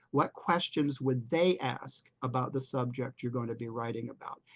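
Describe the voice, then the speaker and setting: The speech moves at a moderate pace. It is an unremarkable speaking voice. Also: man. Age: 60s. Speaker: freelance writer and speaker. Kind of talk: talk to a writers' group meeting.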